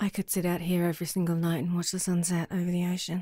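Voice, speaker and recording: A woman's voice sits at a fairly low pitch with a dark, mellow tone. It is somewhat breathy and monotone, with flat intonation. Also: very clean recording, silent background. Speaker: ASMR roleplay creator. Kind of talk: ASMR girlfriend roleplay. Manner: soft-spoken, affectionate.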